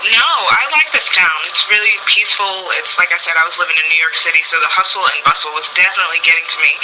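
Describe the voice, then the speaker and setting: With noticeable background noise, a woman with an American accent speaks at a very fast pace in a fairly low pitch, hardly pausing at all. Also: ordinary pitch variation. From US South. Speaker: stage actress. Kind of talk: radio interview. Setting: radio studio.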